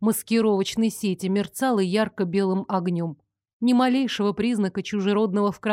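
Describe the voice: The text is read aloud plainly, with a quiet background behind it.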